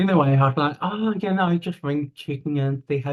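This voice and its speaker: Somewhat breathy and with lively intonation, a man in a New Zealand accent speaks at a moderate pace. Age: 30s. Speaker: interview guest. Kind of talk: personal testimony. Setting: video call.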